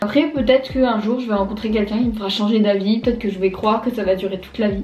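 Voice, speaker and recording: Noticeable background noise sits behind a woman's voice. Her pitch is fairly high and her intonation fairly even. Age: 20s. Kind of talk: casual vlog talk to camera. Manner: informal, chatty.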